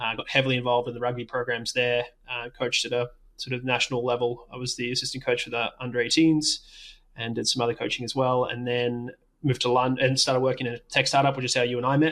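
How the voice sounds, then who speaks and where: An Australian accent from a man, monotone and flat at a very fast pace. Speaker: doctor, coach and tech startup worker. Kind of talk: interview.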